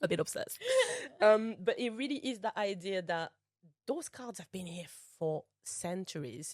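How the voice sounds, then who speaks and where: A woman with a French accent speaks at a medium pitch and moderate pace, with lively intonation and big swings in loudness. Long, frequent pauses break up her speech, and the sound is dry and close with no echo. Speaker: spiritual coach and tarot reader. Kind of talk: podcast interview.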